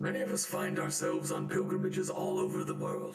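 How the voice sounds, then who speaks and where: A man puts on a character voice, pitched high and delivered at a very fast pace. Strong echo surrounds his speech. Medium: actual play.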